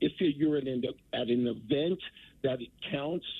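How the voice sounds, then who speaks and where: Fairly high for a man, this voice is an ordinary speaking voice with ordinary pitch variation at a moderate pace. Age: 60s. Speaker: caller. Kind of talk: call-in to radio show. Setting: phone call.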